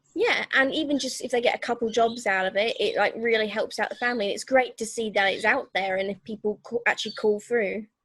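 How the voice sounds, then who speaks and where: At a fairly quick pace with hardly any pauses, a woman speaks in a normal speaking voice, fairly high in pitch and with fairly even intonation. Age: 20s. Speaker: digital agency owner. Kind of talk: interview answer.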